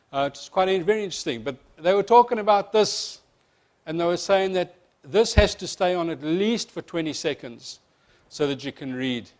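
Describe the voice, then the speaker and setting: The speaker has a South African accent and lively intonation. Loudness swings widely from moment to moment. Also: man, high pitch for a man. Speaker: insurance company presenter. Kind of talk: seminar presentation. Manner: fast.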